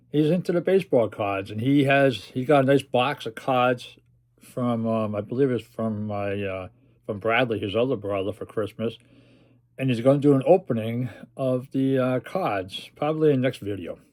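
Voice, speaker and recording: Recorded very cleanly against a silent background, a man with a medium pitch and a normal speaking voice talks at a moderate pace with ordinary pitch variation. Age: 60s. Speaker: comic book collector. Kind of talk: casual chat.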